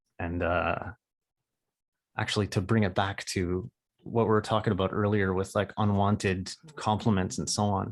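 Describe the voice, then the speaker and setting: A man's fairly low voice with vocal fry, at a fairly slow pace. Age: 30s. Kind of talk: podcast interview. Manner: halting, many repetitions.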